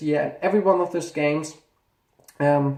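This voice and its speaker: The speaker talks at a fairly quick pace in a German accent. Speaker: gaming YouTuber. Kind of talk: casual video commentary, ranking games. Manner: halting, with self-corrections.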